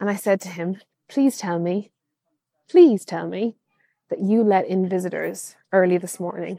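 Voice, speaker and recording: A woman speaks with an Irish accent and a fairly low pitch. Her tone is dark and mellow. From Ireland, Kilkenny. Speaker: archaeologist, listener. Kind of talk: storytelling voice message. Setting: recorded voice message.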